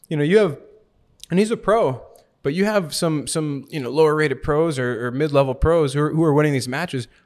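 At a fairly quick pace, a man with an American accent speaks in a plain, everyday voice, fairly high in pitch with ordinary pitch variation. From Milwaukee, Wisconsin. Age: 30s. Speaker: professional foosball player. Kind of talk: casual interview. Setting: at a tournament.

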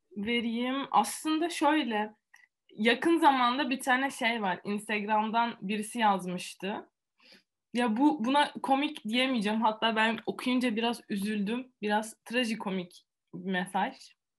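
Against a quiet background, a woman with a fairly high-pitched voice speaks very slowly, her pitch varying in an ordinary way. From Antalya, Turkey. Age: 20s. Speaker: student and youtuber. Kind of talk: interview.

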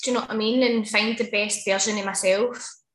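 In a Glaswegian accent, a woman talks at a very fast pace with a fairly high pitch. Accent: Glaswegian Scottish. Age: 30s. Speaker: hairdresser. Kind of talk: casual interview.

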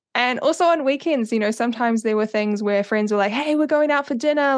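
Speaking very fast against a quiet background, a woman with a New Zealand accent has a fairly high pitch. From New Zealand, Auckland. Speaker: social media strategist. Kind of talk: interview.

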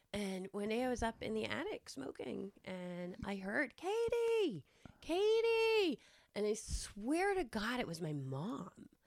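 A woman with a Massachusetts accent talks at a very slow pace. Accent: Massachusetts American. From Westborough, Massachusetts, US. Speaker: guest, quality control professional. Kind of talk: casual chat, interview between friends.

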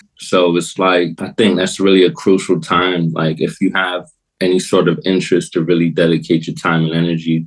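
In a New York accent, a man speaks at a moderate pace with a very deep, low pitch and monotone, flat intonation. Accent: New York American. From New York and Florida, US (Brooklyn). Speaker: hip-hop producer. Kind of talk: casual interview chat.

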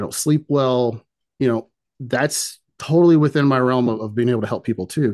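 A quiet background behind a man of medium pitch, talking at a fairly quick pace with ordinary pitch variation. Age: 40s. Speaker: nutrition and fitness coach. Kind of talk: interview. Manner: hesitant with many fillers.

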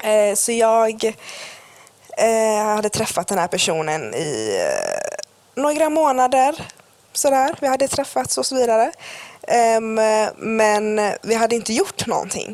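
Her pace is very slow, and her pitch is fairly high. The woman's intonation is lively. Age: 20s. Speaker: podcast co-host. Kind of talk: casual chat. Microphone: cheap earphone mic.

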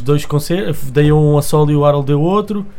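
A man's fairly high voice with music in the background. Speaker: music producer and rapper. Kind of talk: casual chat.

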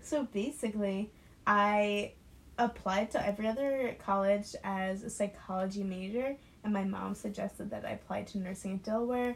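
Speaking at a moderate pace, a woman uses a medium pitch with a somewhat breathy quality and fairly even intonation. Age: 19. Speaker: nursing student. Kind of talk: casual chat.

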